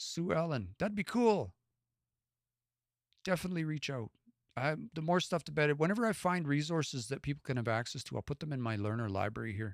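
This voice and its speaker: A man with a western Canadian accent speaks at a fairly quick pace and fairly high pitch, with very wide pitch swings and long, frequent pauses. The sound is dry and close with no echo, on a very clean recording with a silent background. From west central Alberta, Canada. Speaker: language learner and live streamer. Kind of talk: casual live stream chat. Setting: live stream.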